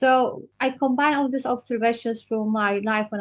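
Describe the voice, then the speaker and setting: A woman with a Polish accent speaks at a moderate pace with fairly even intonation. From Poland. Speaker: children's book author. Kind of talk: interview. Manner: halting.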